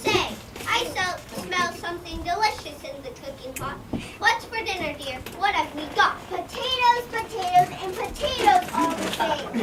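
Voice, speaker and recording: A put-on character voice at an extremely high pitch moves at a moderate pace. Loud background noise sits behind it. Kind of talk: children's stage play. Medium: stage play. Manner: lively, exclamatory.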